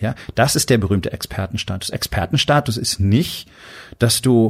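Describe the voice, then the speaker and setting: Here a man speaks in a plain, everyday voice. His pitch is medium and his pace moderate. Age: 50s. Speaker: podcast host, doctor and entrepreneur. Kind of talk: motivational monologue.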